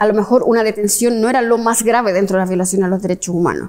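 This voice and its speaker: Her intonation stays fairly even. The woman's pitch is fairly high. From Chile. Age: 50s. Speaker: history professor. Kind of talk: interview. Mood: reflective, earnest. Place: hall.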